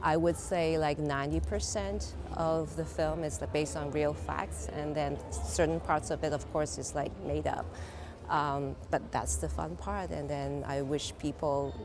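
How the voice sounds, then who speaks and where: At a moderate pace, a woman with a very deep, low voice makes very wide pitch swings amid audible room echo. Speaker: artist. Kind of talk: interview. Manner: hesitant, filler-heavy.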